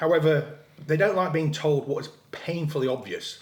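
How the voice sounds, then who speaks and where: Someone with an English accent speaks amid noticeable background noise and audible room echo. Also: man. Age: 30s. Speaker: fitness influencer. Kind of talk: casual chat. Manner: mouth full.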